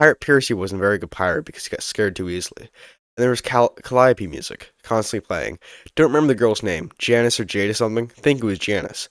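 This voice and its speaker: A man talks at a very fast pace with big swings in loudness. The recording is very clean with a silent background and a dry, close sound with no echo. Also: medium pitch for a man, lively intonation. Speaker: YouTube narrator. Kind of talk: reading aloud with commentary.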